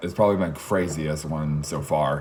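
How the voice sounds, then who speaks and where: A man talking at a fairly slow pace amid noticeable background noise and audible room echo. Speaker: vlogger telling travel story. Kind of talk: casual personal storytelling monologue. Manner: halting, many restarts and fillers.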